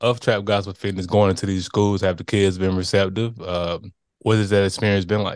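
A man with a fairly low pitch, an ordinary speaking voice, a moderate pace and a quiet background. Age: 30s. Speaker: podcast host. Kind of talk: casual interview.

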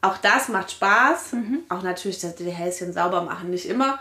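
A woman speaks in a normal speaking voice at a medium pitch and a fairly slow pace. Her pitch varies in an ordinary way. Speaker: mother and local councillor. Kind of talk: casual interview chat.

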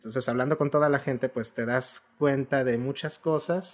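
This man has an ordinary speaking voice, medium in pitch, with ordinary pitch variation and a moderate pace. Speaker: writer. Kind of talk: casual chat.

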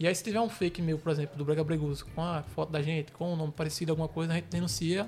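Talking very fast with hardly any pauses, a man uses a fairly high pitch and fairly even intonation. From Recife, Pernambuco, Brazil (Ibura). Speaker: brega funk page creator and administrator. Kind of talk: casual interview chat.

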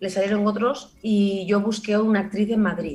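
With a Barcelona accent, a woman speaks at a fairly slow pace over noticeable background noise. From Barcelona, Spain. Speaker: actress and comedian. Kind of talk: casual chat.

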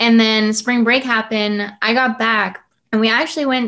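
A woman speaks in a normal speaking voice with an American accent. Her pitch is fairly high. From San Antonio, Texas. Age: young. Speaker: student podcaster. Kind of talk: casual interview chat.

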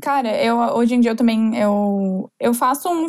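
Fairly high in pitch, a woman's voice shows ordinary pitch variation and is an unremarkable speaking voice. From southern Brazil, Florianópolis. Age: 20s. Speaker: entrepreneur. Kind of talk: casual interview chat.

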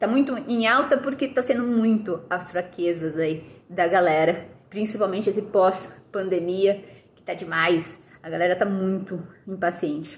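Her voice somewhat breathy, a woman speaks at a moderate pace and medium pitch with lively intonation. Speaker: nutritionist and fitness educator. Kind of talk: casual vlog monologue.

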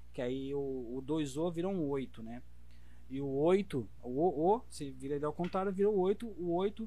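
The speaker has a dark, mellow tone, with lively intonation and a fairly slow pace. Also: man, fairly high pitch for a man. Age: 30s. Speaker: body piercer. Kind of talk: casual chat.

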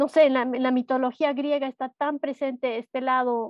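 Fairly even intonation marks a woman's high-pitched voice. She talks at a fairly slow pace. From Bolivia, Cochabamba. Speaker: visual artist, watercolour painter. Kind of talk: interview.

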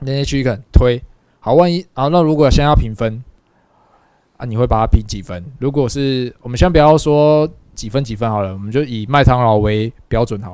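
The speaker talks at a moderate pace with a Taiwanese accent. Loudness swings widely while pitch varies in an ordinary way. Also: man, medium pitch for a man. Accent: Taiwanese Mandarin. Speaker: podcast co-host. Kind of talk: casual chat.

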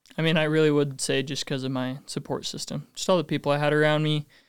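In a very clean recording with a silent background, a man with a Utah accent speaks very fast in a fairly high pitch, his intonation monotone and flat. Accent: American (Utah). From Utah, North Ogden. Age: 20s. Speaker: door-to-door sales rep. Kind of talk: podcast interview.

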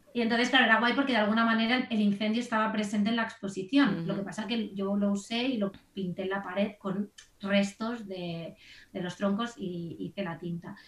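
With noticeable background noise, a woman speaks at a fairly quick pace. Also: medium pitch for a woman, fairly even intonation. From Spain, Barcelona. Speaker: graphic designer. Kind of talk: interview conversation.

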